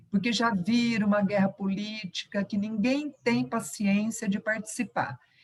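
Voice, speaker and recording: Some breathiness colors the voice. It belongs to a woman. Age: 60s. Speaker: retired university professor, union member. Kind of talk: question at online union meeting.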